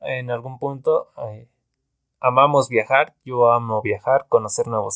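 A man at medium pitch speaks at a fairly slow pace with fairly even intonation. The recording is very clean, with a silent background and dry, close sound without echo. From Mexico (Veracruz). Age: 20s. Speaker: student podcaster. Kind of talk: casual monologue. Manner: hesitant, many fillers.

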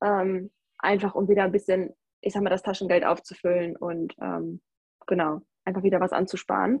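A woman talks in a plain, everyday voice at medium pitch. Her pace is moderate and her intonation fairly even. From Germany, North Rhine-Westphalia. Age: 20s. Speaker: backpacker. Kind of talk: casual interview.

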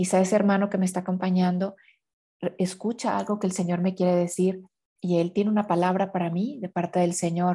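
Her voice is somewhat breathy, with a dark, mellow tone and a Mexican accent. The woman's intonation stays flat and monotone. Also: medium pitch for a woman. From Mexico. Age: 50s. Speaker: consecrated laywoman, inner healing specialist. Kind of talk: podcast interview on faith and inner healing.

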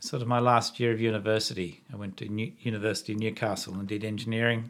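A man with an Australian accent, fairly low in pitch, at a moderate pace. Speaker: podcast host, former engineer. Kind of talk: casual interview chat. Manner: halting, many repetitions.

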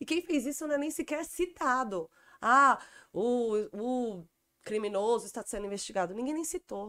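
A woman speaks in a high voice with a bright, sharp tone and lively intonation. Her pace is moderate, and the recording is very clean with a silent background. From São Paulo, Brazil (Taipas). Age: 40s. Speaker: stand-up comedian. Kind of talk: casual chat.

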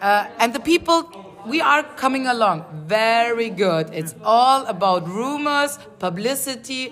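Over noticeable background noise, a woman with a fairly high pitch speaks at a fairly slow pace, her pitch swinging very widely. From southern Germany. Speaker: podcast host interviewing tourists. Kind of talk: casual chat. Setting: wine bar.

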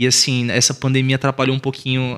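This man's voice has a bright, sharp tone. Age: 20s. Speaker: teacher. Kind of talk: casual chat.

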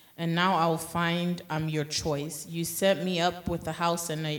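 A woman speaks fairly slowly at a fairly low pitch, her intonation flat and monotone. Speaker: scripture reader. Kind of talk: reading scripture aloud in worship. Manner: emphatic, with call-and-response interjections.

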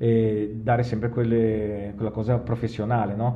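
A normal speaking voice delivered at a fairly slow pace. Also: man. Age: 50s. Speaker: podcast host. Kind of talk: casual interview.

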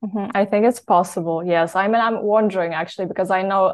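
Talking at a very fast pace, a woman with a Polish accent speaks at medium pitch with fairly even intonation. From Poland. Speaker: health story guest. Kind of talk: interview.

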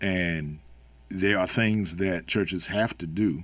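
The speaker has an American accent and a fairly even intonation. The recording is very clean, with a silent background. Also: man. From Maryland, US. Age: 50s. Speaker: poet, activist and minister. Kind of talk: interview conversation.

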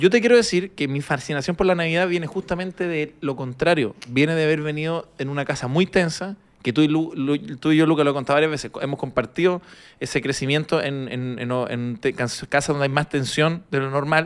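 A man with a Chilean accent, fairly high pitch for a man and ordinary pitch variation. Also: fairly quick pace. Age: 30s. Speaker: comedian. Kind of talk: casual chat. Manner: animated.

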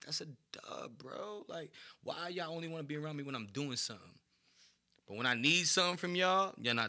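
A man with a New York accent talks very fast at a fairly high pitch, his bright, sharp tone carrying lively intonation. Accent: New York City. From New York City, East Harlem. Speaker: hip-hop artist. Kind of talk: casual chat.

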